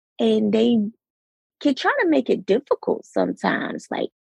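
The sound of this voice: A woman speaks at a fairly slow pace with a fairly high, raspy voice, a slightly husky edge, vocal fry and big pitch swings, in a dry, close sound with no echo.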